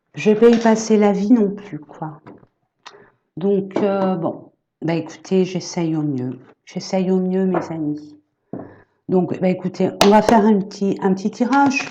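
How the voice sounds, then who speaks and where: A soft-spoken woman at a very slow pace. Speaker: energy therapist and medium. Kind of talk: casual vlog chat. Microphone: built-in laptop camera mic.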